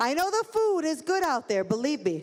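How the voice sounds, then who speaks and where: With a Chicago accent, a woman speaks at a moderate pace in an animated tone. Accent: Chicago South Side. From Chicago, South Side. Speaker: master of ceremonies. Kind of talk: live event hosting. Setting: stage with audience.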